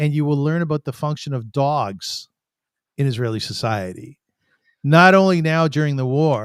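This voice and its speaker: An unremarkable speaking voice at a moderate pace with ordinary pitch variation, in a dry, close sound with no echo and a very clean, silent background. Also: man. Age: 60s. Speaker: podcast host. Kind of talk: podcast monologue intro.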